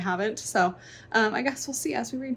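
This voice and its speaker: Lively intonation in a fairly high, somewhat breathy female voice. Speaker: book vlogger. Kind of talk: casual vlog narration.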